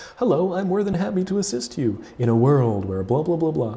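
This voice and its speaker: A man does a put-on character voice, fairly high and fairly quick, with very wide pitch swings over light background noise. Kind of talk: polite, formal. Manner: cheery, eager to help.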